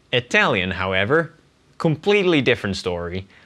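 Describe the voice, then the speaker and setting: A man with a Dutch accent, at a moderate pace, in a bright, sharp tone. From Netherlands. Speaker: language learner vlogger. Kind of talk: casual vlog monologue.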